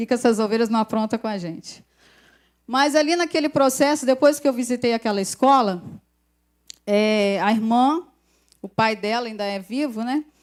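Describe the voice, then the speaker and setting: A woman speaks with fairly high pitch, ordinary pitch variation and an animated tone at a moderate pace. She leaves long, frequent pauses, and the recording is very clean with a silent background. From Brazil, Volta Redonda, interior of Rio de Janeiro state. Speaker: pastor's wife, guest preacher. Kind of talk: sermon. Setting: church service. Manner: animated, conversational.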